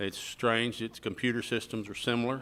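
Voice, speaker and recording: With an Alabama accent, a man speaks at a medium pitch and a fairly quick pace in a very clean recording with a silent background. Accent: Southern US (Alabama). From US South. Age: 60s. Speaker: realtor and retired police detective. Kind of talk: radio interview. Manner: halting.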